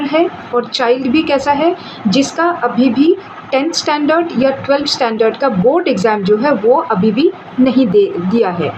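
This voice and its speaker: With a Bengali accent, a woman's voice makes very wide pitch swings while noticeable background noise sits behind her. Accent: Bengali-accented Hindi. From India, Bengal. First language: Bengali (speaking Hindi). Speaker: legal explainer YouTuber. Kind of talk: explainer talk. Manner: Hindi-English code-switching with fillers.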